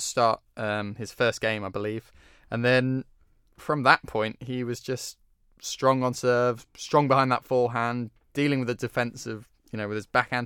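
In a British accent, a man speaks at a moderate pace with a bright, sharp tone and flat, monotone intonation, the very clean recording having a silent background and a dry, close sound with no echo. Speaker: tennis journalist, podcast co-host. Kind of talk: casual chat.

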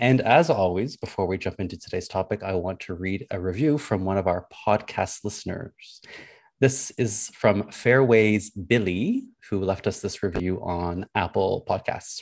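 A man talks in a plain, everyday voice at a fairly low pitch with ordinary pitch variation. His pace is moderate, and the background is quiet. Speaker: podcast host. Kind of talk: casual discussion podcast.

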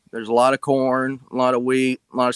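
Dry and close with no echo, a man with an American accent speaks at a medium pitch in a flat monotone. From Southern Illinois. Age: 20s. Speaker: farmer and cryptid researcher. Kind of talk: casual interview storytelling.

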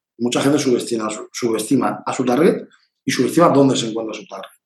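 A man is speaking here. His pace is very fast. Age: 30s. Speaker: marketing agency director. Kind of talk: interview.

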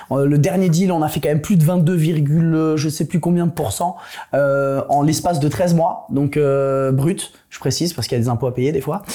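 His voice is fairly high for a man, dark and mellow in tone, somewhat breathy, with fairly even intonation at a moderate pace. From France. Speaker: investor panelist. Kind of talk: casual business panel chat.

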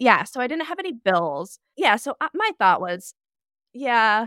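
A woman with an American accent speaks loudly at a moderate pace, her pitch swinging very widely. The recording is very clean, with a silent background. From Nebraska. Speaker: NICU nurse and travel blogger. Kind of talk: casual podcast interview.

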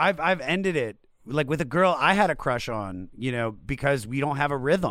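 An animated man speaks with lively intonation at a fairly high pitch. His pace is moderate. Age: 40s. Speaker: podcast host. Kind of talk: casual chat. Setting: video call.

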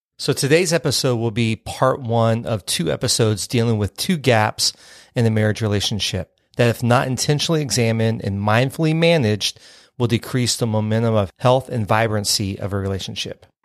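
An ordinary speaking voice, a man's at medium pitch, dry and close with no echo, in a very clean recording with a silent background. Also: ordinary pitch variation, fairly quick pace. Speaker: podcast host. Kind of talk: casual conversational podcast.

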